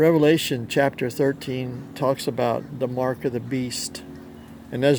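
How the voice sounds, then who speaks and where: A man speaks at a moderate pace with a medium pitch and flat, monotone intonation. Noticeable background noise runs underneath. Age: 60s. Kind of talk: religious monologue to camera. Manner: halting, self-correcting.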